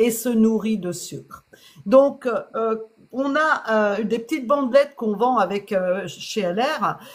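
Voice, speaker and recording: A woman's fairly high voice at a very slow pace, with ordinary pitch variation, on a very clean recording against a silent background. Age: 60s. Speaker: health product seller. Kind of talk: sales pitch. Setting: live stream.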